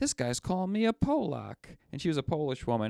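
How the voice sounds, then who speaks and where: A man with an American accent speaks at a fairly high pitch, his intonation lively. The sound is dry and close with no echo, and the very clean recording has a silent background. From Western New York, near Buffalo. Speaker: podcast co-host. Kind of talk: casual chat. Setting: studio.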